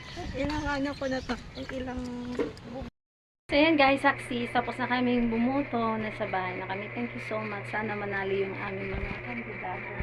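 Audible room echo surrounds this woman's voice. She speaks at a fairly quick pace. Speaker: vlogger. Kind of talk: walking vlog. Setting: outdoors.

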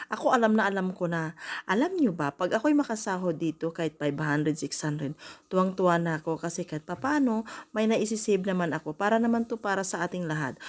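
In a very clean recording with a silent background, a woman with a medium-pitched voice speaks fairly quickly with lively intonation. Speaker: vlogger. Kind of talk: vlog voice-over. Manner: halting.

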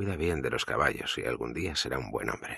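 A man speaks in a very deep, low voice with vocal fry and a bright, sharp, dramatic tone, recorded dry and close with no echo. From Spain. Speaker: audiobook narrator. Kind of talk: audiobook narration.

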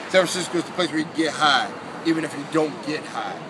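A man talks at a very fast pace with a fairly high pitch. Noticeable background noise sits behind him. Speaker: spoken word poet. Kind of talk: spoken word poetry performance. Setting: outdoors. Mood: calm, reflective. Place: street. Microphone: phone near.

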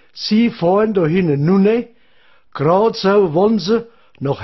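In a Hessian accent, a man with a high pitch talks very slowly with lively intonation. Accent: Odenwald dialect. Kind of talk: comic dialect monologue giving directions. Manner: rambling, chatty.

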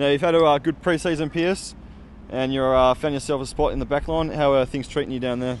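Over light background noise in a dry sound with no echo, a man with a fairly high pitch talks at a very fast pace with fairly even intonation. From Australia. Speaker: club video interviewer. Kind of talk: casual interview. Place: stadium. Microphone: handheld.

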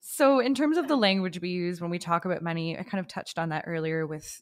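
The speech comes at a very fast pace, with a dry, close sound with no echo, on a very clean recording with a silent background. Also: woman. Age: 20s. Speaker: podcast co-host. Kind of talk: casual chat; scripted intro segment.

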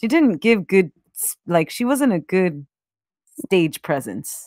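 With lively intonation, a woman speaks in a fairly low pitch at a moderate pace. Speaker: podcast co-host. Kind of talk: casual chat. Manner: animated.

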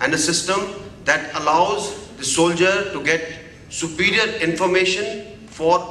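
A high-pitched male voice with light background noise and audible room echo. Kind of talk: formal address at a seminar. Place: hall. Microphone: podium.

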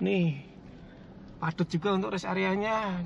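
A man talks at a moderate pace in a high pitch, with vocal fry and a fairly bright tone. Faint background noise is present.

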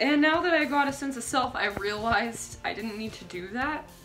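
A woman at a moderate pace with ordinary pitch variation over faint music in the background. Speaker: vlogger. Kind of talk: casual vlog chat. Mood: reflective, self-amused. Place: bathroom. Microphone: phone near.

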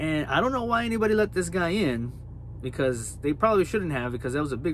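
A man speaks with lively intonation. The sound is dry with no echo, and there is light background noise. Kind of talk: casual vlog chat. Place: car. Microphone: phone near.

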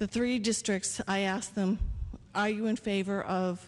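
A woman's fairly slow delivery. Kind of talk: public comment at a meeting. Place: hall. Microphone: podium.

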